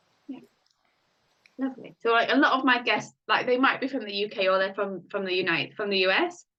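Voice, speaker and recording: In a British accent, a woman with a fairly high pitch speaks at a fairly quick pace with lively intonation. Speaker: podcast host, life coach. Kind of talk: interview.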